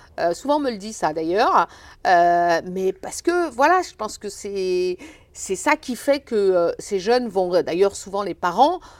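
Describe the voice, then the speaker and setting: A woman at medium pitch with very wide pitch swings and a fairly slow pace. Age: 50s. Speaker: foundation director, former sports teacher. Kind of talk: interview.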